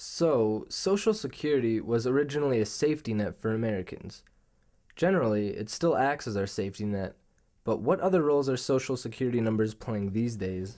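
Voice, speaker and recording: Man with a western US accent, medium pitch, dark, mellow tone, lively intonation and a fairly quick pace, on a very clean recording with a silent background. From Utah, Salt Lake City. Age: 20s. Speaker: documentary filmmaker and subject. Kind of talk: documentary narration.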